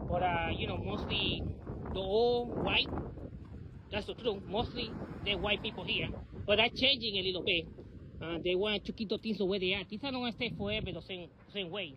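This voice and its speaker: A man with a high pitch talks at a fairly quick pace, using ordinary pitch variation and long, frequent pauses. The sound is dry with no echo, and background noise is noticeable. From New York City (South Bronx). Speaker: vlogger and former local election candidate. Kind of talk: casual vlog monologue. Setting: outdoors. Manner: halting, with many repetitions and fillers. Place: street. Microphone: phone near.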